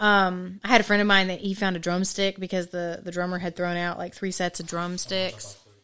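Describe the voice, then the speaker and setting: A woman at medium pitch, fairly quick and monotone with flat intonation and hardly any pauses, on a very clean recording with a silent background. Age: 30s. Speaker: returning podcast guest. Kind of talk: casual chat.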